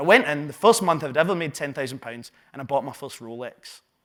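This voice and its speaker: In a Glaswegian accent, a man talks with a fairly high pitch. His pitch variation is ordinary. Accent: Glaswegian Scottish. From Scotland, Glasgow south side. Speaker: entrepreneur and business coach. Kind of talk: live talk to an audience. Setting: stage with audience. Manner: animated.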